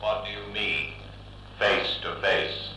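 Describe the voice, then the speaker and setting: A man in a booming, put-on character voice, with slight echo and clear background noise. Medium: old radio play. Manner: cold, flat, detached.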